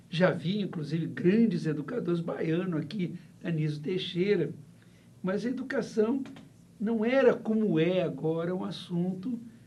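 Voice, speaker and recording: Intonation is lively at a fairly slow pace. Audible room echo fills the recording. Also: man, high pitch for a man. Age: 70s. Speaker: professor. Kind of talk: interview. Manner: halting, with many fillers.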